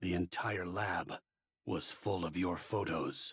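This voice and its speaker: A man does a put-on character voice at a very deep, low pitch and a fairly slow pace. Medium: video game. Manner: measured, formal.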